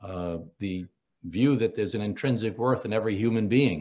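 A man with an unremarkable speaking voice keeps a moderate tempo while his pitch varies in an ordinary way. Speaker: politician guest. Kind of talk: interview answer. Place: home room. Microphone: video call.

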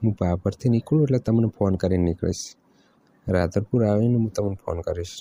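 A dark, mellow tone with ordinary pitch variation, dry and close with no echo. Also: man. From north Gujarat, Banaskantha. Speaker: caller. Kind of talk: flirtatious phone chat.

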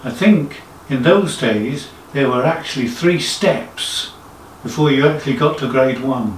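Over light background noise and audible room echo, the speech goes at a very slow pace with ordinary pitch variation. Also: man. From England, Suffolk. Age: 60s. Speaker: amateur organist. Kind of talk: casual talk to camera. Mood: modest, reflective. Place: home room.

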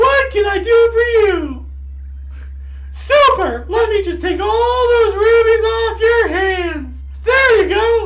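Over loud background noise, someone shouts in a put-on character voice at an extremely high pitch and a very slow pace. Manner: bubbly, upbeat.

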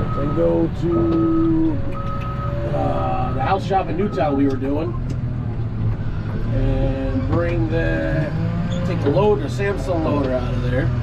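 A man speaks at a very slow pace, with long, frequent pauses. Loud background noise runs under his voice. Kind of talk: casual vlog chat. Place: farm machine. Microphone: camera far.

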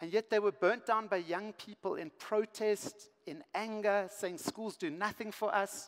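This man's voice sits high in pitch. He talks at a moderate pace. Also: quiet background. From South Africa. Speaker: education speaker. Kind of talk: conference keynote. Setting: stage with large audience. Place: stage. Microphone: headset.

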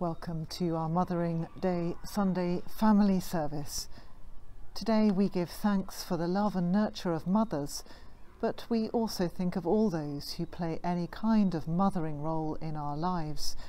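A dark, mellow tone at a moderate pace, with ordinary pitch variation. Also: woman, fairly low pitch for a woman. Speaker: church minister. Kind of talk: service welcome address. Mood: warm, calm. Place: garden. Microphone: phone near.

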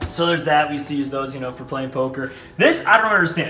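Audible room echo and music in the background surround a man talking at a very fast pace. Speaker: vlogger giving home tour. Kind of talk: casual vlog chat. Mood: playful, nostalgic. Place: home room. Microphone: camera far.

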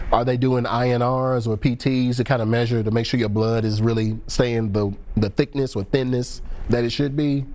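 A man at a moderate pace, monotone with flat intonation. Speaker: pharmacist and call-in show host. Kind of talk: call-in TV advice show. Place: studio.

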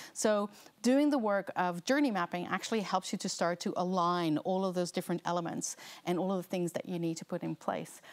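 A woman talks at a fairly quick pace with a North American accent. Her pitch is medium, and its variation is ordinary. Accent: North American-sounding English. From Netherlands. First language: Dutch. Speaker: learning experience designer; presenter. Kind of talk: seminar lecture. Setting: lecture room with live audience. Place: studio. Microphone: lapel.

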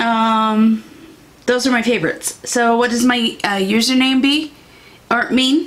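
With an American accent, a woman speaks fairly slowly in a high pitch, with very even loudness and fairly even intonation. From Iowa, near the Mississippi River; Iowa. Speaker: beauty YouTuber. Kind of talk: casual vlog talk to camera. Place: home room.

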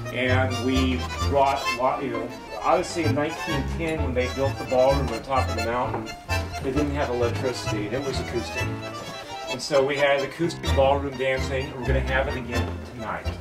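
A fairly quick pace with clear music in the background. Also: man. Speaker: host of the nonprofit inn. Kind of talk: informal welcome talk with local history. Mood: light, joking. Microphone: camera far.

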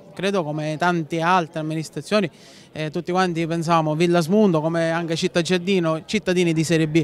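A man speaks at a fairly quick pace with a high voice. His intonation stays fairly even, and the sound is dry with no echo. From Sicily, Villasmundo; Sicily. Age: 20s. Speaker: local political organizer. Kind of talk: interview. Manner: hesitant, many fillers. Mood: earnest, satisfied. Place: street. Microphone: handheld.

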